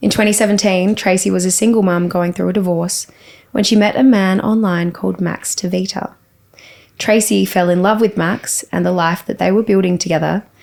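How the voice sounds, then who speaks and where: Her pitch sits at a medium level, and her intonation stays fairly even. The woman keeps a fairly quick pace. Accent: Australian. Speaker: podcast host. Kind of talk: podcast interview.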